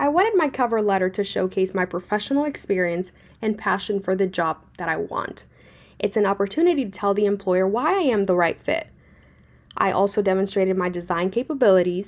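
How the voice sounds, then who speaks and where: Talking at a very fast pace, a woman with a Spanish accent keeps a medium pitch with ordinary pitch variation. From Puerto Rico. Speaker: graduate student. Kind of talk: class presentation. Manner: formal.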